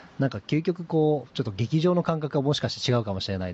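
The speaker is a man. He talks at a very fast pace, his pitch swinging very widely. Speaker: CEO of a YouTube creator management company. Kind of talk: interview conversation.

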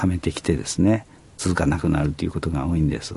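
A man's voice carries ordinary pitch variation. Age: 70s. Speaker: company president. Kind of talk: interview conversation.

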